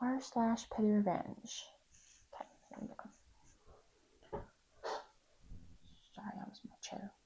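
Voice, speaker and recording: Quiet and at a very slow pace, a woman speaks with a fairly high pitch, a dark, mellow tone, monotone, flat intonation, big swings in loudness and long, frequent pauses. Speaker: YouTuber reading Reddit stories. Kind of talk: reading aloud with casual commentary. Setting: home apartment at night. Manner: quiet, keeping voice down; casual, hesitant with many ums.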